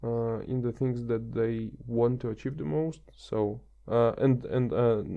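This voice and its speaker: A man speaks with a non-native accent at a medium pitch. His intonation is fairly even. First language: not English. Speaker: podcast guest. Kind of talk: casual chat. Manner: halting, many fillers.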